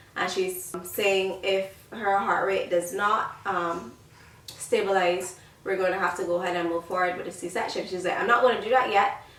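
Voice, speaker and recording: Over clearly audible background noise, a woman talks in a mid-range pitch. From Barbados. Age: 20s. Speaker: lifestyle YouTuber. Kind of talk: casual talk to camera.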